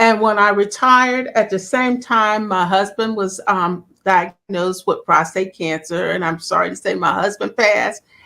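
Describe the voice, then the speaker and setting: Over a silent background on a very clean recording, a woman of medium pitch speaks in a bright, sharp tone with hardly any pauses. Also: ordinary pitch variation, moderate pace. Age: 60s. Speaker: wellness coach, retired nurse. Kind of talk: interview.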